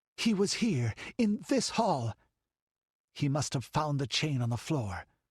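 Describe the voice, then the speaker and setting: A man's strained, put-on character voice, fairly slow, with very wide pitch swings. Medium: read story.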